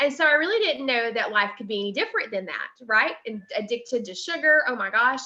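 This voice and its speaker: A woman with a Southern US accent speaks in a high pitch with lively intonation and big swings in loudness, against noticeable background noise. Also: hardly any pauses. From US South. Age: 30s. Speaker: network marketing distributor. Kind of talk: testimony. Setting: livestream webinar. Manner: casual, many fillers.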